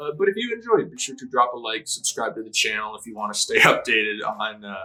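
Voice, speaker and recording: Over music in the background, a man talks at a very fast pace. His loudness swings widely. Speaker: anime reaction youtuber. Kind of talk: casual reaction commentary. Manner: animated.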